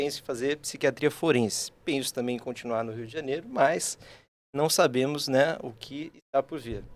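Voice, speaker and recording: With a slight São Paulo accent, a man speaks at a moderate pace with a fairly high pitch, ordinary pitch variation and big swings in loudness, on a very clean recording with a silent background. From São Paulo state, Brazil. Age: 20s. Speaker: psychiatry resident. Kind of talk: casual podcast chat.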